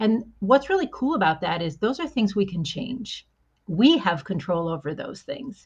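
A woman speaks at a moderate pace, somewhat breathy. Her fairly high pitch moves in very wide swings. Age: 50s. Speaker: executive coach and marketing strategist. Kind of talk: casual interview.

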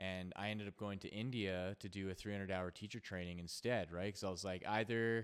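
A man with a Canadian accent, an unremarkable speaking voice, a fairly low pitch and a moderate pace. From Canada. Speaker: podcast host, yoga teacher. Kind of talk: casual chat.

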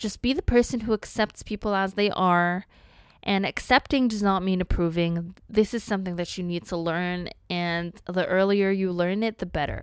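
At a moderate pace, a woman uses a plain, everyday voice at medium pitch with fairly even intonation in a very clean recording with a silent background. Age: 20s. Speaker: solo podcast host. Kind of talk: solo monologue, advice list.

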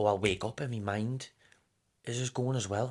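A man talks in an animated tone with a northern English accent. The recording is very clean, with a silent background. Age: 20s. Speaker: running coach. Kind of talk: casual chat. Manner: fast.

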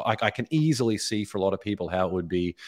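A man with an Australian accent talks at a very fast pace in a fairly low pitch, the sound dry and close with no echo. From Australia, Brisbane. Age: 30s. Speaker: author and speaker. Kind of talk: interview conversation. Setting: video call.

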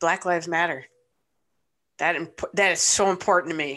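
Against a quiet background, a woman with a Midwestern US accent speaks in a bright, sharp tone at a fairly low pitch, her intonation flat and monotone. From Michigan, Ypsilanti. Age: 40s. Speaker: sports fan and parent. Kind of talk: casual chat.

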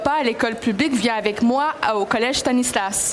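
At a moderate speed, a woman talks with normal pitch movement, her voice carrying audible room echo over noticeable background noise. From Montreal, Quebec (Greek family). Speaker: literature professor, author. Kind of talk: panel discussion. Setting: book fair stage.

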